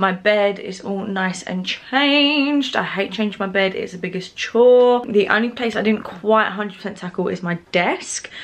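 A British accent at a moderate pace, with ordinary pitch variation and hardly any pauses. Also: woman, medium pitch for a woman. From UK. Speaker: vlogger. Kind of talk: casual vlog diary. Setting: bedroom at night. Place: home room. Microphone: phone near.

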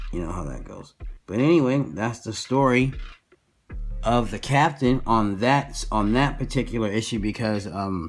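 A man talks at a moderate pace with ordinary pitch variation and big swings in loudness. Faint music sits in the background. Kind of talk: casual tutorial chat. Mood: relaxed, amused. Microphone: phone near.

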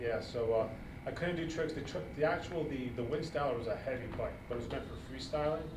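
Noticeable background noise sits behind a man with a fairly high voice. He talks at a fairly quick pace with ordinary pitch variation. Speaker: podcast co-host. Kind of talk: casual chat. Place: gym.

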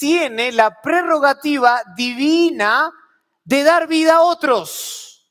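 The background stays quiet. A man speaks very slowly. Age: 30s. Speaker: preacher. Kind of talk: sermon. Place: church. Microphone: lapel.

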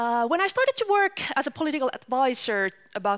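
This is a woman's voice. The background stays quiet. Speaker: presenter. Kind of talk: public talk. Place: hall. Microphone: headset.

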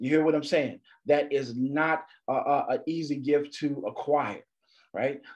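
A man speaks in an animated tone at a fairly high pitch. His pace is fairly slow, and the background is quiet. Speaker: motivational speaker. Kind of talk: motivational talk. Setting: video call. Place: home room. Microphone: video call.

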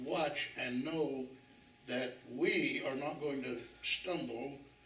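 A man speaks in a space with audible room echo. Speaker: bible study teacher. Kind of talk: sermon. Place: church.

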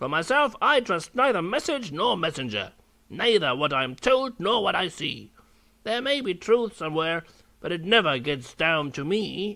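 A man's put-on character voice, high-pitched with very wide pitch swings, at a moderate pace

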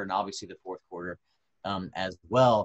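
A man with a Southern US accent. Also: quiet background. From North Carolina. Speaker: agricultural economist; panelist. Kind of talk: webinar presentation. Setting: video call. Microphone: video call.

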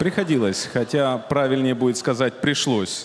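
A man keeps a moderate pace, with light noise in the background. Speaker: guest. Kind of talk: comedic stage monologue. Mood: ironic, joking. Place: stage. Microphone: handheld.

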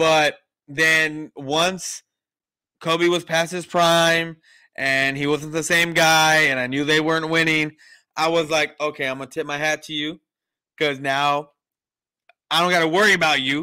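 Bright and sharp in tone, a man with a fairly high pitch speaks fairly slowly in a flat monotone, with long, frequent pauses and a quiet background. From San Antonio, Texas; Texas. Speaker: sports podcast host. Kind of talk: casual chat. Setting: remote call from home kitchen. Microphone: studio mic.

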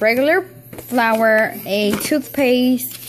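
A woman speaks slowly at a fairly high pitch. Faint noise sits in the background.

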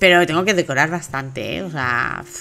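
With a low pitch, vocal fry and a bright, sharp tone, a woman speaks at a moderate pace with ordinary pitch variation.

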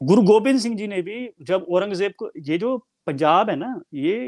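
Against a quiet background, a man with an animated tone and very wide pitch swings speaks at a moderate pace, the sound dry with no echo. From Punjab, India. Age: 30s. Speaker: Sikh commentator and author; Sikh commentator. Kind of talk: interview discussion; interview answer. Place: home room. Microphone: earbuds.

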